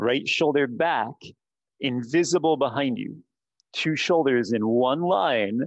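A man talks with lively intonation. The sound is dry with no echo, and the background is quiet. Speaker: yoga instructor. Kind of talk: guided yoga class, instructions given. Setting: studio and Zoom class. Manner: brisk, rhythmic, commanding cues; clipped, directive, counting breaths. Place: gym. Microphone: headset.

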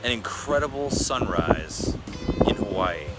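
The speech is very slow, with music playing behind it. The sound is dry, with no echo. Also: man. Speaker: car vlogger. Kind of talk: casual vlog chat. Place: waterside. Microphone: phone near.

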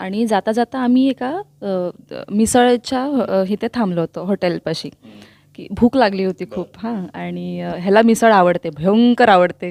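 In a plain, everyday voice with medium pitch and ordinary pitch variation, a woman speaks with big swings in loudness, the sound dry and close with no echo on a very clean recording with a silent background. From Chiplun, Ratnagiri (Konkan). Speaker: actress. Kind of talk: interview.

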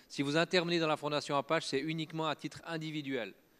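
A man speaking at a fairly quick pace and fairly high pitch. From French-speaking Switzerland. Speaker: open source foundation director and software engineer; conference speaker. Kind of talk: conference talk. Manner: halting, many filler words and repetitions. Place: stage. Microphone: handheld.

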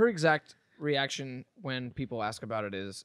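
A man's voice, dry with no echo, against a quiet background. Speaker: podcast host. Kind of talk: casual chat. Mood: relaxed, humorous storytelling. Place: home room. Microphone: studio mic.

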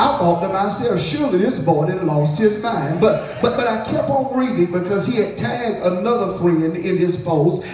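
At a moderate pace and with hardly any pauses, a man speaks in a high voice with lively intonation, with audible room echo and light background noise. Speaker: preacher. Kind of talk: revival sermon, call-and-response with congregation. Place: church. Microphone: camera far.

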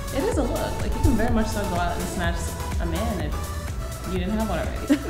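A woman talks at a fairly quick pace. Loud music plays behind her. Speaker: makeup artist. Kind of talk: casual talk. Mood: warm, playful, upbeat. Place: studio.

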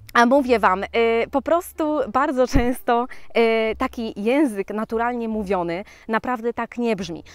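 Against a quiet background with a dry sound and no echo, a woman speaks at a fairly slow pace with a fairly high pitch and ordinary pitch variation. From Poland. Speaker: vlogger. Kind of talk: casual chat. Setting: outdoors. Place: forest. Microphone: phone near.

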